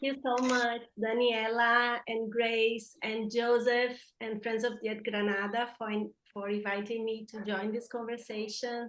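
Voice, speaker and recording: A woman speaks with a fairly high pitch. Her intonation is monotone and flat, and her pace fairly slow. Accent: Brazilian. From Brazil. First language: Portuguese. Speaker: environmental justice activist. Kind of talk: panel talk.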